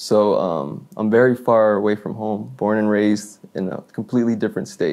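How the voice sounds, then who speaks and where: A man with an unremarkable speaking voice and an American accent talks at a moderate pace with hardly any pauses, his pitch fairly low with ordinary variation. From Florida, US. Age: 20s. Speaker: hip hop artist and record label owner. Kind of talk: interview. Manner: casual, many fillers (you know, like).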